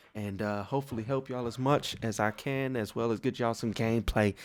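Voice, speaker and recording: Quiet and fairly quick, a man speaks at a fairly low pitch with ordinary pitch variation. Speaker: gaming YouTuber. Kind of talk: gaming tutorial. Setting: home at night.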